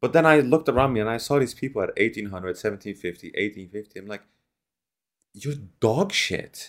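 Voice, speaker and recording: A man talks at a fairly quick pace in a medium pitch, with lively intonation and big swings in loudness. It is a normal speaking voice on a very clean recording with a silent background. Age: 20s. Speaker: podcast host and streamer. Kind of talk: casual chat.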